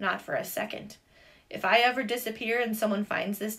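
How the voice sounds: The words are delivered in a natural reading voice.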